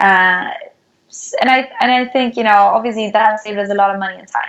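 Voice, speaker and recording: In a Swedish accent, a woman speaks at a fairly quick pace and fairly high pitch, with fairly even intonation and big swings in loudness. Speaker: startup founder. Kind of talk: interview.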